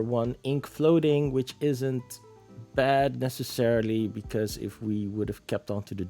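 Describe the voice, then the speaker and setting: Background music accompanies this male speaker. He talks at a medium pitch. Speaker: card game content creator. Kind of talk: casual gameplay commentary.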